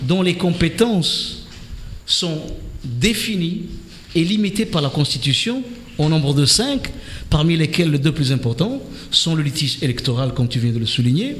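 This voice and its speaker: A man's fairly high voice at a fairly slow pace, broken by long, frequent pauses, over noticeable background noise. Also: lively intonation. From Comoros. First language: Comorian (speaking French). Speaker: politician, member of parliament. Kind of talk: radio political debate interview. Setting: radio studio. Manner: hesitant, with frequent fillers.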